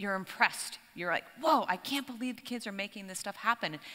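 Her tone is bright and sharp. The woman is heard against a quiet background. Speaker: keynote speaker. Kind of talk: keynote speech. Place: stage. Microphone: headset.

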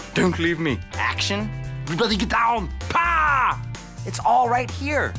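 Music plays clearly in the background. Over it, a man talks at a fairly slow pace. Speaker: actor and comedian. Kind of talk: TV commercial read. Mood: playful, comedic.

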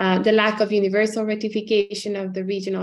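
At a moderate pace, a woman is speaking. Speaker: human rights scholar; panelist. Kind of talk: academic panel talk. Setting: video call. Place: home room. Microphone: video call.

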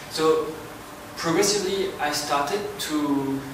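A man with a French accent speaks at a fairly high pitch. Noticeable background noise and audible room echo fill the recording. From France. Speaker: sound artist giving a talk. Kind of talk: lecture.

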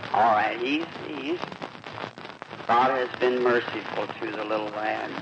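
A man's voice comes through with noticeable background noise around it. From United States. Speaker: preacher leading a healing service. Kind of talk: sermon at a healing revival meeting. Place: hall. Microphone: old recording.

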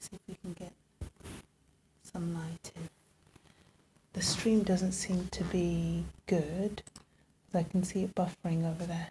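Soft-spoken and somewhat breathy, a woman with a fairly low pitch and a dark, mellow tone talks at a fairly slow pace in a monotone, flat manner, with long, frequent pauses, big swings in loudness and light background noise. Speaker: music producer and livestreamer; livestreamer. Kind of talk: casual livestream chat. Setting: home livestream. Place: home room. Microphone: phone near.

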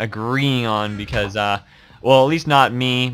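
This man's tone is bright and sharp. His pitch sits in the medium range with ordinary variation. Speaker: Minecraft gaming YouTuber. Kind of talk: casual gameplay commentary. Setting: recorded at home while playing a game. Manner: fast talker, chatty.

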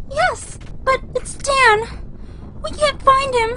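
A woman speaks very slowly at an extremely high pitch. Noticeable background noise is heard. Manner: worried, polite.

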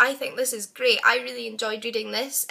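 Here is a woman with a Scottish accent. Her pitch is high. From Scotland. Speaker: book vlogger. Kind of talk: casual talk to camera. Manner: fast. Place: home room. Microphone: webcam.

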